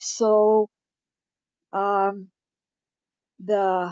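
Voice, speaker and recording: Her intonation stays monotone and flat. The woman's pitch sits at a medium level. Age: 70s. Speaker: webinar participant asking a question. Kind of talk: question in webinar Q&A. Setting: online webinar. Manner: halting, with many fillers.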